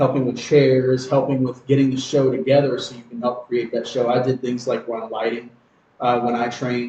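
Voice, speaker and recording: A man speaks at a fairly quick pace in a dark, mellow tone that is somewhat breathy. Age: 40s. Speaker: professional wrestler. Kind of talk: podcast interview. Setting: podcast.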